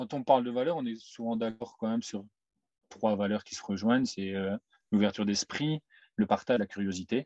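Dark and mellow in tone, the voice moves at a moderate pace with ordinary pitch variation and long, frequent pauses, recorded dry and close with no echo against a quiet background. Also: man, medium pitch for a man. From Belgium, Mouscron. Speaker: manual worker and van traveller. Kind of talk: casual interview.

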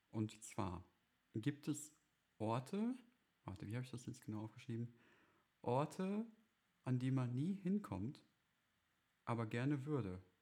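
Quiet and somewhat breathy, a man speaks at a medium pitch with a dark, mellow tone, lively intonation and long, frequent pauses. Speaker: podcast co-host. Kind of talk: casual chat. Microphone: crackling.

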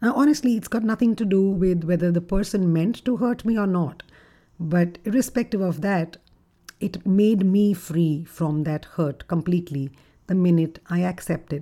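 A woman's fairly low, dark, mellow voice at a moderate pace, with ordinary pitch variation

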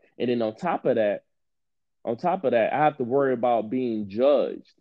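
This man has an ordinary speaking voice with an American accent and a medium pitch. He talks at a moderate pace with ordinary pitch variation. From Detroit, US Midwest. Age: 30s. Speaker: podcast host. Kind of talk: casual interview.

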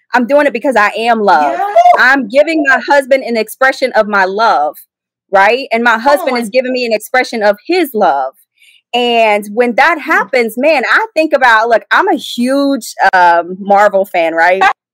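Lively intonation and a moderate pace in a normal speaking voice. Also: woman, fairly high pitch for a woman. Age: 30s. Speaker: ministry founder. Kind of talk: testimony.

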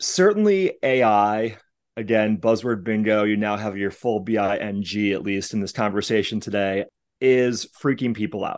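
An ordinary speaking voice from a man, fairly low in pitch, at a moderate pace against a quiet background. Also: fairly even intonation. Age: 40s. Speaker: business executive in influencer marketing. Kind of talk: podcast interview.

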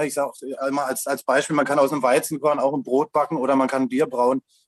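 This man speaks very fast. His pitch sits fairly high. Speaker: hemp shop owner. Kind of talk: interview.

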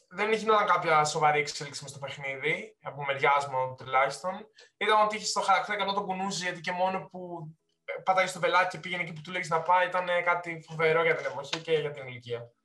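A man talks at a fairly quick pace and a high pitch, with ordinary pitch variation and big swings in loudness. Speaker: podcast co-host. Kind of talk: casual chat.

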